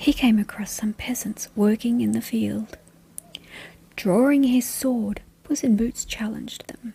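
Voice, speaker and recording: A soft-spoken woman talks at a fairly high pitch and a fairly slow pace. Noticeable background noise can be heard. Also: fairly even intonation. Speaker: bedtime story reader. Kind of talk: read fairy tale.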